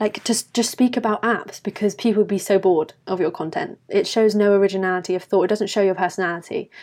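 Speaking with a British accent, a woman talks very fast with hardly any pauses. Her medium-pitched voice has fairly even intonation on a very clean recording with a silent background. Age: 20s. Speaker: university student and lifestyle YouTuber. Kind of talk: casual interview chat.

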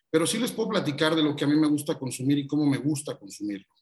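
A man with a Mexican accent speaks at a fairly high pitch. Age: 30s. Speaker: radio host and content creator. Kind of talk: casual interview chat.

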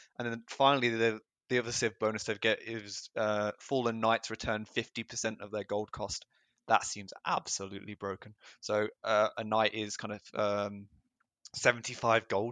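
A man with an English accent, fairly low pitch and a bright, sharp tone, monotone with flat intonation at a moderate pace, in a dry, close sound with no echo and a quiet background. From England. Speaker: video game player and commentator. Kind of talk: casual chat and game analysis.

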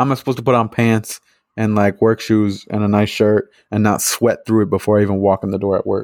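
A man's fairly low voice at a very fast pace, monotone and flat in intonation. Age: 20s. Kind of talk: casual chat.

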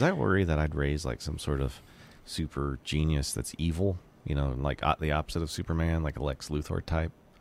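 Very deep and low in pitch, a man talks at a fairly quick pace. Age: 40s. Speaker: podcast producer. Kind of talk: casual chat. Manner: animated.

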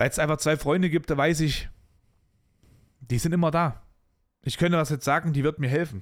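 In a very clean recording with a silent background, a man with a fairly high pitch sounds animated, keeping his loudness very even while taking long, frequent pauses. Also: fairly quick pace. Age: 20s. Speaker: podcast host. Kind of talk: casual monologue.

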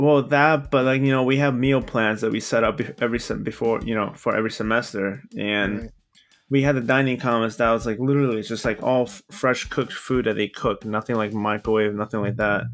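A man with a plain, everyday voice and a medium pitch talks at a fairly quick pace with fairly even intonation, in a very clean recording with a silent background. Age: 20s. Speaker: podcast co-host. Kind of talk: casual chat. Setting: call.

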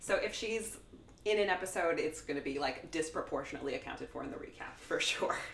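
There is noticeable background noise in this recording. Over it, a woman with an American accent talks at a very fast pace. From New Jersey. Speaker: TV culture writer. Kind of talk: casual chat.

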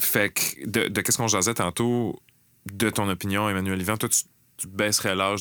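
A man speaks at a moderate pace in a bright, sharp tone with fairly even intonation and a fairly low pitch. The recording is very clean with a silent background. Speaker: podcast host. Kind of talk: casual chat. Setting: studio.

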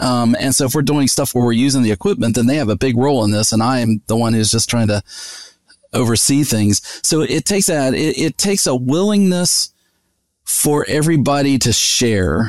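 A man's ordinary speaking voice at a medium pitch, with lively intonation, a moderate pace and very even loudness. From US South, West Virginia (Charleston). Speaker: veterinary nutrition professor. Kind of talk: interview.

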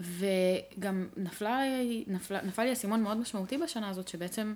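This woman has a medium pitch and ordinary pitch variation. She talks at a moderate pace. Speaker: product designer. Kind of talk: casual chat.

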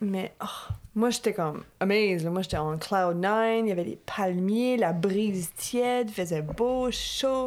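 At a very slow pace, a woman speaks with a medium pitch and ordinary pitch variation. She takes hardly any pauses. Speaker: podcast co-host. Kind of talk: casual chat.

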